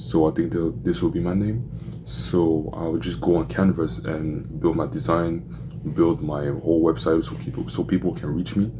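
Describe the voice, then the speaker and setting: Over noticeable background noise, a man with a very deep, low voice speaks with lively intonation. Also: moderate pace. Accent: French. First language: French. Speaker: vlogger documenting a business journey. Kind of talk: casual vlog with Bible reading. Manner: halting, self-correcting.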